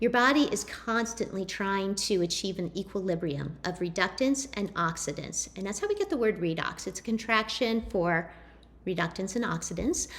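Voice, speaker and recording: At a moderate pace, a woman talks in a normal speaking voice of medium pitch, with ordinary pitch variation. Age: 30s. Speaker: network marketing distributor. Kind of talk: presentation.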